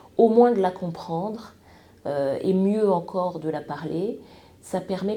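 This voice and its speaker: Audible room echo surrounds a woman's fairly low, dark, mellow voice. She speaks at a very slow pace with ordinary pitch variation. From France and Congo-Brazzaville. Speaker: TV news presenter. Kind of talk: podcast interview. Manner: hesitant, many fillers.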